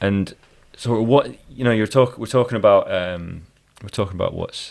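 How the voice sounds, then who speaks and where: A man speaks in a Scottish accent at a moderate pace, on a very clean recording with a silent background. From Scotland. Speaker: jazz violinist and podcast host. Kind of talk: casual interview chat.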